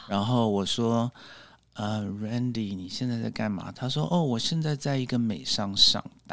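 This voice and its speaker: A man with a plain, everyday voice and medium pitch speaks at a fairly slow pace with ordinary pitch variation. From Taiwan, moved to US at 12 (Orange County, California). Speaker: public speaking club member. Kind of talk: casual interview.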